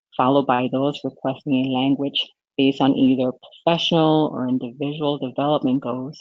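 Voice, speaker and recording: A woman at a fairly quick pace, very deep and low in pitch, in a Spanish accent with monotone, flat intonation. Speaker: corporate language program manager. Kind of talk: webinar presentation. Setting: webinar streamed online.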